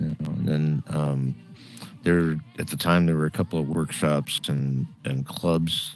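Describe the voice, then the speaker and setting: Over music in the background, a man with a very deep, low pitch speaks at a fairly slow pace in a monotone, flat intonation. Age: 60s. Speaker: comedian. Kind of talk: casual chat.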